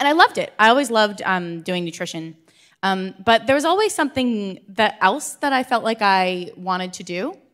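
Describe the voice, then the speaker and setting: Speaking at a moderate pace with an American accent, a woman has a fairly high pitch and lively intonation, captured in a very clean recording with a silent background. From US Northeast, New Jersey. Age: 30s. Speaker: entrepreneur and dietitian. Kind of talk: conference talk. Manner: casual, many fillers.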